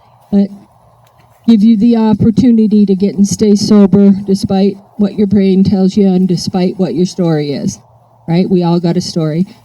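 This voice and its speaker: A dark, mellow, somewhat breathy voice at a moderate pace with very even loudness. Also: woman, medium pitch for a woman. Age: 60s. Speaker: AA speaker. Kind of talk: recovery talk. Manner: animated.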